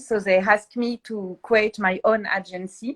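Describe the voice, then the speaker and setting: A woman at medium pitch, at a fairly slow pace. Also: dry, close sound with no echo. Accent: French. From France. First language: French. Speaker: PR agency founder. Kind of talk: interview. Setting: livestream. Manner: halting.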